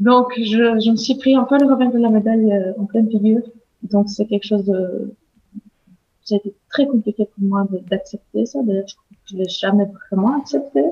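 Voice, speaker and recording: In a somewhat breathy voice, a woman with a fairly high pitch talks at a moderate pace with ordinary pitch variation. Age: 30s. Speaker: stay-at-home mother and baby/animal communication trainer. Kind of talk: interview testimony. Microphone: poor recording quality.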